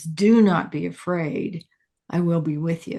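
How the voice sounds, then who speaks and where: Booming and middle in pitch, a put-on character voice moves at a fairly slow pace. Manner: reassuring.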